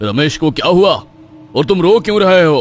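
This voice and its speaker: A man at a high pitch puts on a cartoonish character voice. He talks at a moderate pace with lively intonation. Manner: stern, scolding.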